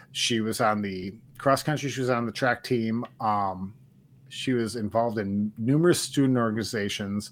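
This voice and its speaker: A man speaks in an American accent with a medium pitch, fairly even intonation and a moderate pace, a normal speaking voice. The recording is very clean, with a silent background. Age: 40s. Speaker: sports podcast co-host. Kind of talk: casual chat.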